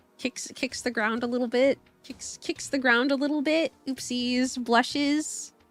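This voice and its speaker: With music in the background, a woman speaks at a fairly slow pace in a high pitch, her intonation fairly even. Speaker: streamer. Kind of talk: casual live stream chat.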